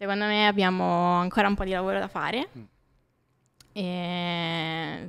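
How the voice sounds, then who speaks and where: A woman speaks at a fairly slow pace with long, frequent pauses. Her pitch is fairly low and her intonation fairly even. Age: 20s. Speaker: graphic designer; podcast guest. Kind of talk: casual interview. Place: studio. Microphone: studio mic.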